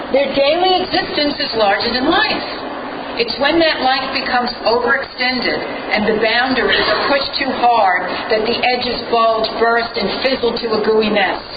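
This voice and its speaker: A woman with a high voice speaks at a moderate pace with ordinary pitch variation over noticeable background noise. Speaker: humorist and spoken word artist. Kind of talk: humorous storytelling monologue.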